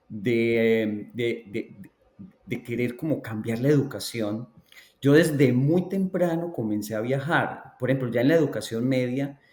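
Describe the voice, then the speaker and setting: In a Colombian accent, a man of medium pitch speaks at a fairly slow pace with ordinary pitch variation. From Colombia, Antioquia (La Ceja). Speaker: education researcher. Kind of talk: interview.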